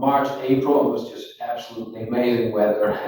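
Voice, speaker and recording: A man with a Dutch accent speaks with audible room echo and music in the background. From Netherlands, Rotterdam. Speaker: interviewer, commercial property manager. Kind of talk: casual chat. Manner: hesitant, many fillers.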